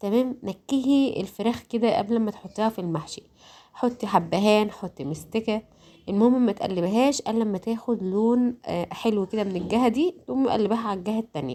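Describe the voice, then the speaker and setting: Moderately paced speech comes in a dark, mellow tone. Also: woman, fairly high pitch for a woman. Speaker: home cooking youtuber. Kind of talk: cooking tutorial voice-over. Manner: halting, many fillers and restarts; casual, conversational.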